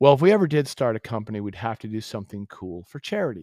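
A normal speaking voice with an American accent, fairly quick pace and lively intonation, dry and close with no echo, on a very clean recording with a silent background. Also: man. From Massachusetts. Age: 50s. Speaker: company founder. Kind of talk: casual chat. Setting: call.

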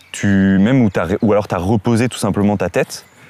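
A man with a fairly deep voice is heard over clearly audible background noise. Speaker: YouTube interviewer. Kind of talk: casual interview.

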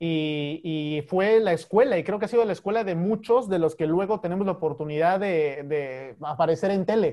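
Speaking at a moderate pace with hardly any pauses, a man uses a high voice and ordinary pitch variation. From Mexico, Chiapas. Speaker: sports correspondent. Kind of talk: casual interview.

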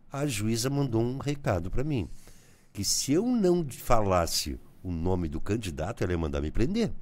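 A man speaks at a medium pitch and a moderate pace, his pitch swinging very widely. Audible room echo surrounds his voice. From southern Brazil, Rio Grande do Sul border region (Bagé). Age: 60s. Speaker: journalist and radio broadcaster. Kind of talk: casual interview.

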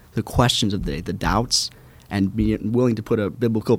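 Vocal fry runs through this man's fairly low voice, which shows ordinary pitch variation. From Minnesota, US. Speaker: intern. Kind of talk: interview.

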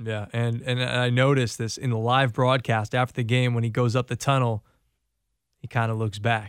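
Recorded very cleanly against a silent background, a man with an American accent speaks at a moderate pace and medium pitch with monotone, flat intonation. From Connecticut. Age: 30s. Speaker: radio host. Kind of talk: casual radio interview.

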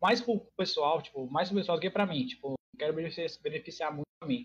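The sound is dry and close, without any echo. A man's lively intonation carries his moderate pace. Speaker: streamer. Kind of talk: casual chat. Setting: online call. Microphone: call drops, sometimes inaudible.

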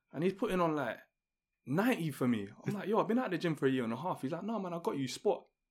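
A man talks very fast in a London accent. His voice is high for a man and swings very widely in pitch. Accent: London multicultural English. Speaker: podcast host. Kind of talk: casual chat. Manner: calm, composed.

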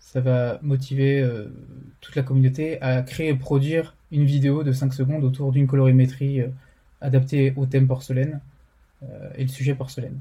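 A man speaks at a moderate pace with long, frequent pauses, in a flat monotone. His voice is somewhat breathy, dark and mellow, at a medium pitch. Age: 20s. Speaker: motion designer and community co-founder. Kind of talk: interview. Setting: remote recording.

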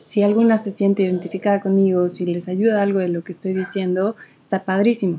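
A woman at a fairly quick pace, medium in pitch, with a dark, mellow tone and monotone, flat intonation. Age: 20s. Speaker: podcast host. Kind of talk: casual monologue. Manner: halting.

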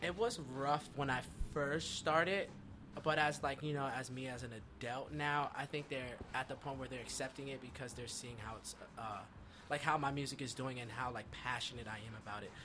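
Bright and sharp in tone, a man with an American accent talks fairly quickly at a medium pitch, his intonation fairly even. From Eastern Pennsylvania, US. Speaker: rapper and singer. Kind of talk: casual interview chat.

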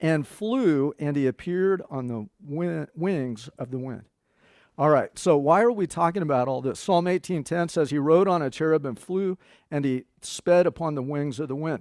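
The recording is very clean, with a silent background and a dry, close sound with no echo. The speech moves at a moderate pace with ordinary pitch variation. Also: man. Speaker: pastor. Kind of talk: sermon. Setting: church. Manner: conversational, teaching; animated.

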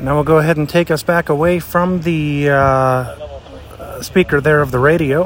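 Here a man with an American accent and a plain, everyday voice speaks at a fairly high pitch and moderate pace, keeping very even loudness and fairly even intonation with hardly any pauses. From southwest Pennsylvania. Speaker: podcast host, plane spotter. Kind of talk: casual outdoor commentary. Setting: outdoors, walking on a sidewalk.

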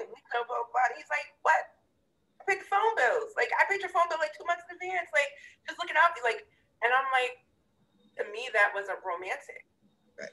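Projecting her voice, a woman with an extremely high pitch and a bright, sharp tone speaks at a moderate pace with very wide pitch swings, big swings in loudness, and long, frequent pauses. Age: 30s. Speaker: podcast co-host. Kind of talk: casual chat.

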